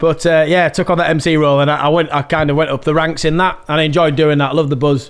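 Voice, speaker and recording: Here a man talks very fast in a Yorkshire accent. His pitch is fairly high. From Yorkshire, Malton. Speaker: musician and MC. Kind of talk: casual chat.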